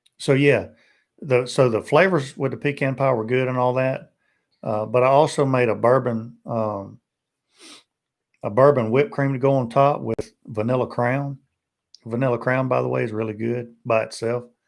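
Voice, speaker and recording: A man's medium-pitched voice with fairly even intonation, at a moderate pace with long, frequent pauses, in a very clean recording with a silent background. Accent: Tennessee. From Tennessee. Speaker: BBQ YouTuber. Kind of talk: live stream casual chat.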